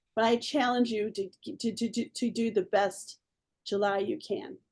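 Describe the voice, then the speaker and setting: A woman has a normal speaking voice, fairly high in pitch. She speaks at a moderate pace. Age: 60s. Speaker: direct sales team leader. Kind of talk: casual team video meeting.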